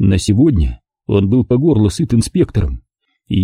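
The background stays quiet. Over it comes an unforced reading voice.

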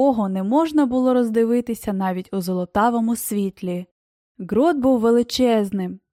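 Someone reads in a natural reading voice with ordinary pitch variation. The background is quiet.

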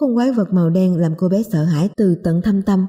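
The text is read plainly aloud, and the pitch varies in an ordinary way.

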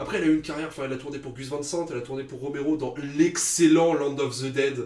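Talking fast, a man uses fairly even intonation and a slightly mellow tone.

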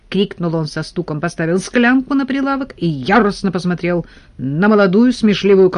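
Lively intonation marks this delivery. It is a natural reading voice.

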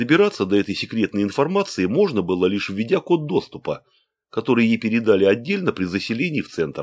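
A quiet background under reading aloud in a natural voice.

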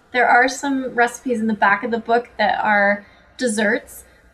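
A woman's high voice with a Canadian accent, ordinary pitch variation and a fairly slow pace, over noticeable background noise. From Canada. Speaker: holistic nutritionist and author. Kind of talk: interview chat.

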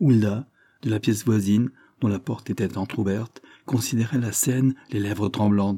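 The voice reads naturally. It sounds like ordinary reading aloud.

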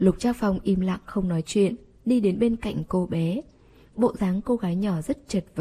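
Ordinary pitch variation while reading aloud in a natural voice

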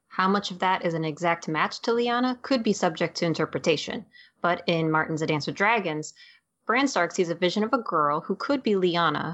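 The woman has an ordinary speaking voice with a fairly low pitch. Her intonation is lively and her pace fairly quick. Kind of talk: dramatic narration reading aloud from the novella text. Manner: expressive storyteller voice, acting out the she-wolf's lines.

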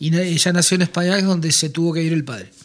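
A man at a fast pace, fairly high-pitched, with ordinary pitch variation

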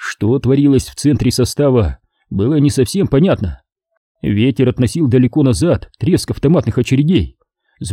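Over a quiet background, someone reads in an unforced voice.

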